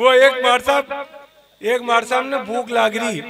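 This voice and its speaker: With noticeable noise behind him, a man talks using fairly even intonation. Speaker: comic poet. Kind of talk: stage comic storytelling at a poetry gathering.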